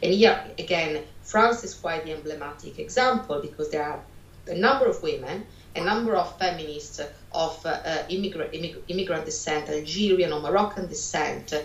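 Amid noticeable background noise and audible room echo, a woman with an Italian accent talks fairly quickly at a fairly low pitch, with ordinary pitch variation and big swings in loudness. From Italy. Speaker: sociology lecturer. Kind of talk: interview. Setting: video call.

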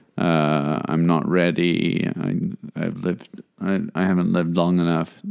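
The delivery is monotone, with flat intonation. The pace is fairly slow. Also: man, very deep, low pitch for a man. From South Africa. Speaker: podcast host. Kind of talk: casual chat.

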